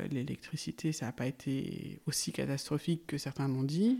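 Recorded very cleanly over a silent background, a woman speaks at a moderate pace with a very deep, low pitch and vocal fry. Her tone is dark and mellow, and her intonation is fairly even. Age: 40s. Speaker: farmer. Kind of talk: interview.

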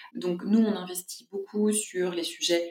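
A woman's ordinary speaking voice at medium pitch, with ordinary pitch variation. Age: 40s. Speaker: social entrepreneur. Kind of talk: interview.

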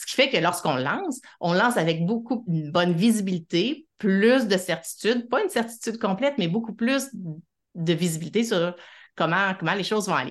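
A woman with a normal speaking voice talks at a medium pitch and a moderate pace. Her intonation is lively, and the background is quiet. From Quebec City, Quebec. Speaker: psychologist. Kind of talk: interview.

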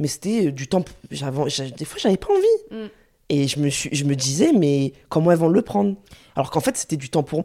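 A woman with a very deep, low pitch talks at a fairly quick pace with lively intonation. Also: very clean recording, silent background. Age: 30s. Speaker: specialized educator and young mother. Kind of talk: casual chat. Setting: at the host's home.

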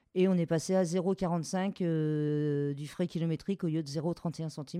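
A woman's fairly low voice, fairly even in intonation, with hardly any pauses. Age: 40s. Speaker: home care worker and strike leader. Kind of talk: testimony. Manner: hesitant, with fillers.

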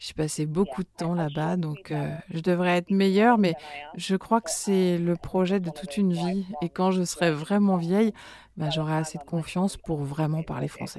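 A woman with a fairly low pitch and a dark, mellow tone speaks at a fairly slow pace with fairly even intonation. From Manchester, England. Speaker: singer. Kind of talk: interview.

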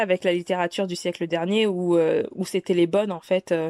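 Medium-pitched female voice, fairly quick and monotone with flat intonation, on a very clean recording with a silent background and a dry, close sound with no echo. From West African heritage. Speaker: podcast host. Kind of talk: solo podcast monologue. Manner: casual, hesitant with fillers.

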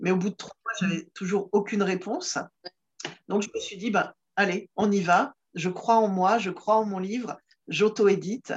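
A woman speaks at a moderate pace with fairly even intonation, medium pitch and a somewhat breathy sound. Her loudness swings widely, and she takes long, frequent pauses. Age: 50s. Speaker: comedian and laughter yoga facilitator. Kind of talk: casual interview. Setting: video call. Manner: hesitant, many fillers and repetitions. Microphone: distortion from poor rural connection.

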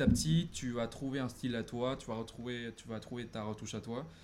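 A man talks at a medium pitch with hardly any pauses. His is a normal speaking voice with fairly even intonation. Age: 20s. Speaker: photographer and business student. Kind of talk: casual interview on a livestream.

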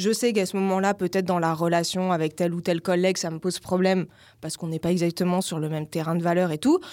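Very fast and with fairly even intonation, a woman talks at a fairly low pitch in a dark, mellow tone on a very clean recording with a silent background. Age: 40s. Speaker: life coach and yoga teacher. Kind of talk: casual interview.

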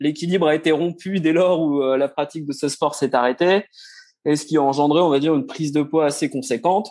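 A man has an unremarkable speaking voice with a fairly high pitch and fairly even intonation. He speaks at a fairly quick pace against a quiet background. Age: 40s. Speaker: amateur runner, former footballer. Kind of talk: interview.

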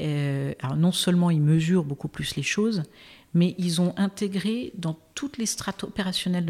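Speaking at a fairly slow pace, a woman with a fairly low pitch sounds somewhat breathy, her pitch varying in an ordinary way. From Brittany, France. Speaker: impact investor. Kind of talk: interview conversation.

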